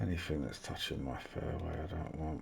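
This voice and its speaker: This soft-spoken man has a very deep, low pitch. His voice carries audible room echo. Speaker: video game course design YouTuber. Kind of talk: tutorial. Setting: home recording, family in bed. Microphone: mic turned right up, may sound quiet.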